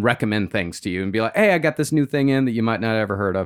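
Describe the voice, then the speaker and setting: The recording is very clean, with a silent background. A man speaks in a normal speaking voice with ordinary pitch variation. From rural Texas. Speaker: podcast co-host. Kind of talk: casual chat. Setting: home studio.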